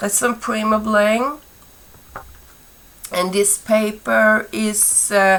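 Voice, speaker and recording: Background noise is noticeable in this clip. A woman speaks at a very slow pace. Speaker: crafter, scrapbooker. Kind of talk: casual craft tutorial talk to camera.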